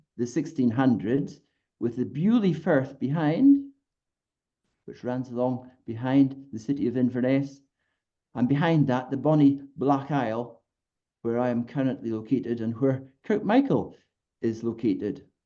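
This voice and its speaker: A man with a Scottish accent speaks at a fairly slow pace, his tone dark and mellow. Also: medium pitch for a man, ordinary pitch variation. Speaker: local historian. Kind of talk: presentation. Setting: video call.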